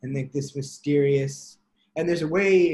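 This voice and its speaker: This man's voice sits fairly high, with ordinary pitch variation. His tone is dark, mellow and somewhat breathy. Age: 20s. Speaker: musician. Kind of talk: interview. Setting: college radio interview.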